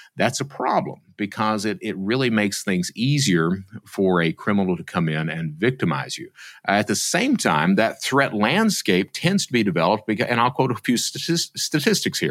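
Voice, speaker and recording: A man with an Appalachian accent speaks at a moderate pace in a fairly low voice, his pitch swinging very widely. The recording is very clean, with a silent background. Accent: Appalachian US Southern. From Eastern Kentucky. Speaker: former cybercriminal turned security speaker. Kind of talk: interview.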